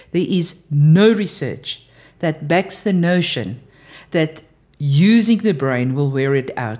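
A woman with a very deep, low pitch and a dark, mellow tone speaks at a very slow pace, her intonation lively. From South Africa. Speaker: developmental specialist. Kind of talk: interview.

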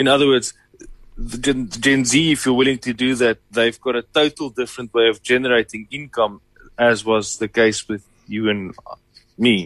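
A man talks in a normal speaking voice at medium pitch and a moderate pace. His intonation is fairly even, and the sound is dry and close with no echo. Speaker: co-presenter. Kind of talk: casual chat.

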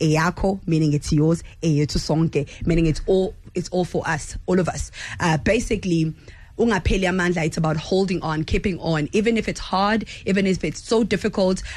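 A woman talks at a moderate pace with a fairly low pitch and a somewhat breathy sound. Her loudness stays very even, with ordinary pitch variation. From South Africa, Durban. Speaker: lead vocalist of a band. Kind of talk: radio interview. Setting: radio studio.

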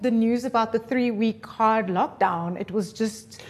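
Noticeable background noise runs throughout. Over it, a woman talks. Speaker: radio presenter and producer. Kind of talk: casual interview chat.

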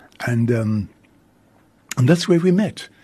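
A somewhat breathy, dark, mellow voice with a South African accent and lively intonation, at a moderate pace. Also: man. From South Africa, Cape Town. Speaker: radio host and priest. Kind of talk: radio interview. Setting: radio studio.

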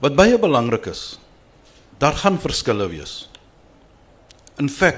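The speaker is a man with a fairly high pitch and vocal fry. His pitch swings very widely. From Cape Town, South Africa. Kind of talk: panel discussion.

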